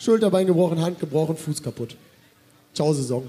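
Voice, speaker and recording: His tone is dark and mellow. The man talks at a fairly quick pace. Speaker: festival MC and social media creator. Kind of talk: live podcast chat on stage. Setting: stage with audience.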